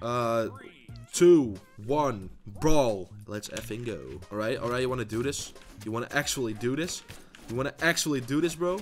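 With music playing behind him, a man speaks at a medium pitch and with lively intonation. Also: moderate pace. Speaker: gaming YouTuber. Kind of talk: gameplay commentary. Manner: loud, shouting; animated.

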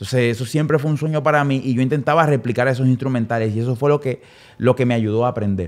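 Talking at a very fast pace, a man uses medium pitch and ordinary pitch variation on a very clean recording with a silent background. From Dominican Republic, San Pedro de Macorís. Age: 30s. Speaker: music producer. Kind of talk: casual interview.

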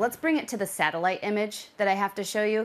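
A woman speaks in a serious tone. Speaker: weather forecaster. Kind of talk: news weather report, delivered in a polished broadcast style. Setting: studio. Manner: brisk, urgent and clear, with an authoritative, serious tone. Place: studio. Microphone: lapel.

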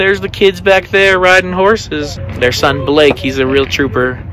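Clear music plays behind a man speaking at a moderate pace. The sound is dry, with no echo. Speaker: family vlogger. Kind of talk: casual vlog chat. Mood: warm, cheerful. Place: farm machine. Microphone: phone near.

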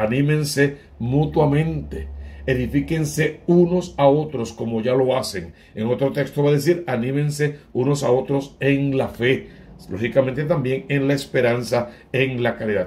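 Somewhat breathy, a man of medium pitch talks at a fairly slow pace with ordinary pitch variation. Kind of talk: homily / scripture reflection.

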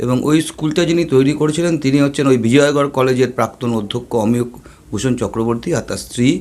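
Noticeable background noise behind a male voice, medium in pitch, its pitch varying in an ordinary way. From West Bengal, Kolkata (Jadavpur). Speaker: newspaper journalist. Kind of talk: interview.

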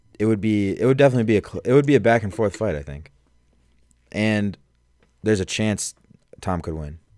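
Over a quiet background, a man with an American accent speaks at a fairly quick pace in a fairly low pitch and a dark, mellow tone, with lively intonation, big swings in loudness, and long, frequent pauses. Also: dry sound with no echo. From Chicago suburbs. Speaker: podcast co-host. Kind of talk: casual chat. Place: studio. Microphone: studio mic.

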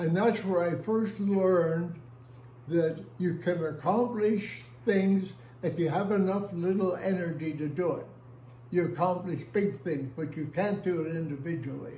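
With an American accent and a high pitch, a man speaks at a fairly slow pace amid light background noise and audible room echo. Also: ordinary pitch variation. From Northern Ireland, Belfast. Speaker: oral history interviewee; interviewee. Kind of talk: oral history interview storytelling. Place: home room. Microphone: phone near.

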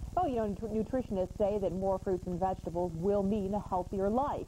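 A woman talks at a fairly quick pace. Light background noise is present. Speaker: news anchor. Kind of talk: TV newsreading. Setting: studio. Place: studio.

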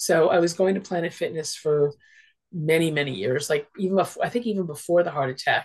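A woman's somewhat breathy voice, fairly low in pitch, at a fairly quick pace with ordinary pitch variation, over a quiet background. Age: 60s. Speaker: social worker and interfaith minister; interfaith minister. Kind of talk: casual interview. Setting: video call. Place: home room. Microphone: video call.

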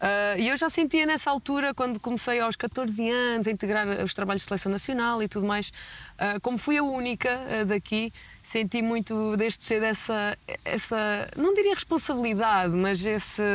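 A woman with an unremarkable speaking voice talks at a moderate pace and fairly high pitch, with very even loudness, ordinary pitch variation and a dry sound with no echo. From Portugal, Gafanha da Nazaré (Aveiro); Portugal. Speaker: basketball player; interviewee. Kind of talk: interview. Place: street. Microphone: lapel.

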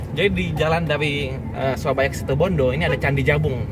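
Loud background noise surrounds a man talking at a very fast pace, the sound dry with no echo. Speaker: travel vlogger. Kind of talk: casual vlog chat. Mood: cheerful, relieved. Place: car. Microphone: phone near.

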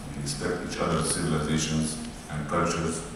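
A man's very deep, low voice amid strong room echo and noticeable background noise. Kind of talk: formal speech. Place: hall. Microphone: pa.

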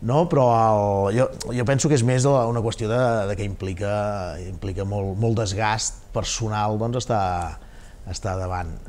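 A man with an unremarkable speaking voice talks at a fairly low pitch and a fairly slow pace. His pitch varies in an ordinary way over light background noise. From Catalonia. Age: 40s. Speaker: castellers club president and public official; interview guest. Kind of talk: TV interview. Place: studio. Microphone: lapel.

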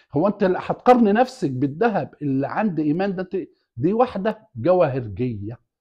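A man speaks at a fairly slow pace with an Egyptian accent, his voice high for a man with very wide pitch swings. The background is quiet. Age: 60s. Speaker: YouTube commentator. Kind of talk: casual monologue. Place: home room. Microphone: lapel.

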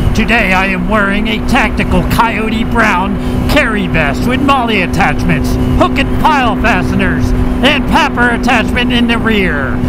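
A man speaks with a dry sound and no echo. Loud background noise runs behind him. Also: moderate pace. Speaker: motorcycle vlogger. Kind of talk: angry rant over road footage, ranting with swearing and sarcastic commentary. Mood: sarcastic, irritated at traffic. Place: motorbike. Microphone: helmet.

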